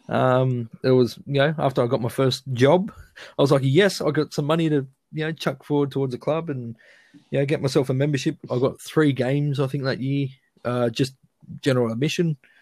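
In a very clean recording with a silent background, a man talks at a fairly quick pace with a fairly high pitch and fairly even intonation. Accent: Australian. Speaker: fan interviewee. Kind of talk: casual interview chat.

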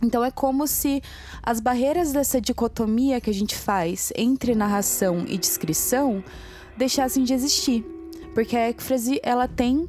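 Pitched high, a woman delivers her lines in a theatrical, dramatic tone with lively intonation. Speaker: podcast co-host and narrator. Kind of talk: dramatic storytelling narration. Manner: theatrical, dramatic, voicing characters.

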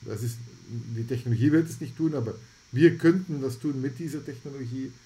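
At a moderate pace, a man with a medium-pitched, somewhat breathy voice and a dark, mellow tone speaks with fairly even intonation. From Belgium (Antwerp, Flemish). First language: Dutch (Flemish) (speaking German). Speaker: health AI foundation founder. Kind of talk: podcast interview.

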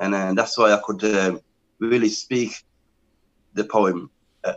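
In an English accent, a man speaks at a fairly low pitch with fairly even intonation, the sound dry and close with no echo. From England. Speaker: spoken word poet. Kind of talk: interview.

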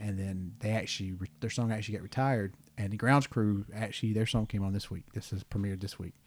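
On a very clean recording with a silent background, a man with an American accent talks very fast, with hardly any pauses. His voice is fairly low with fairly even intonation. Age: 40s. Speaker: podcast host. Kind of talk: casual chat.

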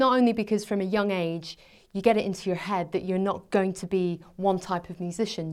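Fairly even intonation marks this very fast speech in a Scottish accent. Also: woman, very clean recording, silent background. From Scotland. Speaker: personal finance blogger and journalist. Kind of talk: interview. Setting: studio.

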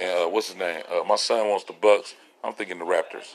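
Background noise can be clearly heard. Against it, a man talks at a moderate speed. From US South and Los Angeles. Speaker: podcast host. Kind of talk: casual monologue.

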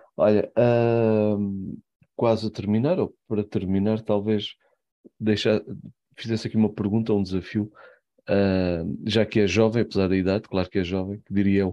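In a European Portuguese accent, a man talks with a dark, mellow tone and monotone, flat intonation. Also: fairly low pitch for a man, moderate pace. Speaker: podcast host. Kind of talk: interview. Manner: halting.

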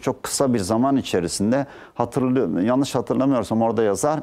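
A man speaks in a dark, mellow tone at a medium pitch. The recording is very clean, with a silent background. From Turkey, Balıkesir (Aegean). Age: 60s. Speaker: economics professor. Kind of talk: TV interview.

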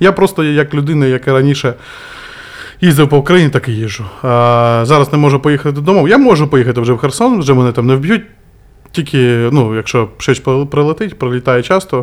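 This man's fairly high voice has ordinary pitch variation and a fairly quick pace, broken by long, frequent pauses. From Kherson, southern Ukraine. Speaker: volunteer and former guesthouse owner. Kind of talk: podcast interview.

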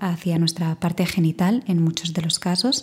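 Calm and somewhat breathy, a woman speaks at a medium pitch with a dark, mellow tone. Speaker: podcast host, voice professional. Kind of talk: solo podcast monologue. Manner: reflective, calm.

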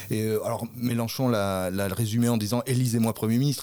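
A man's medium-pitched voice holds fairly even intonation on a very clean recording with a silent background. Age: 40s. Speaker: parliamentary candidate. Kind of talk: political interview. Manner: halting, many hesitations.

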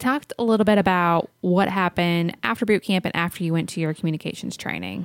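A woman with a fairly low pitch talks at a very fast pace with hardly any pauses. The recording is very clean, with a silent background. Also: ordinary pitch variation, dry, close sound with no echo. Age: 30s. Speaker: podcast host. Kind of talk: casual chat.

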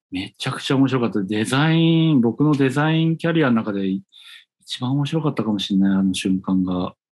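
A plain, everyday voice from a man, medium in pitch with lively intonation, fairly quick over a quiet background. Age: 40s. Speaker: designer, podcast co-host. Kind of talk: casual chat.

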